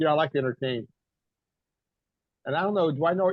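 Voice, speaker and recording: This man's voice sits fairly high in pitch and shows ordinary pitch variation. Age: 70s. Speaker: screen printing industry veteran and musician. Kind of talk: casual chat.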